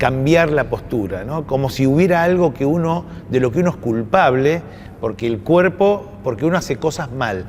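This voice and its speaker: Through noticeable background noise, a man with a fairly high pitch speaks at a moderate pace with lively intonation. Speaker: university official and moderator. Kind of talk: panel conversation. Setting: university event with audience. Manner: halting.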